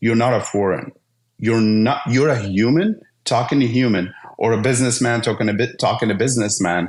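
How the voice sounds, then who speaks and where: A man talks at a medium pitch and a moderate pace. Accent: slight Arabic. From Syria. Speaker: IT business owner. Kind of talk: podcast interview.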